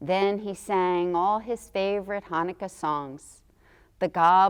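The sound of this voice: Reading in an unforced voice, the speaker keeps the intonation fairly even.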